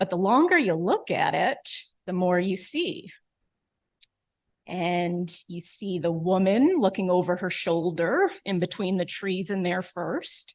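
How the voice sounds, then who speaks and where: A woman with an American accent speaks at a fairly slow pace in a medium pitch with ordinary pitch variation, against a quiet background. She has a plain, everyday voice. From New York. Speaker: neurologist. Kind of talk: lecture.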